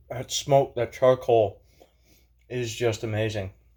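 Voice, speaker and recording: A man with a medium pitch speaks at a fairly slow pace in a somewhat breathy voice. His intonation is monotone and flat. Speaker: blacksmith channel owner and home cook. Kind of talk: casual vlog talk to camera. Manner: halting, many fillers.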